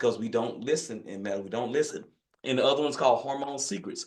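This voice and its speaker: The speaker is a man. He has a Louisiana accent. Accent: Louisiana country accent, noticeable. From northern Louisiana, US South. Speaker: physician, hormone specialist. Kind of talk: online masterclass talk. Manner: casual, folksy.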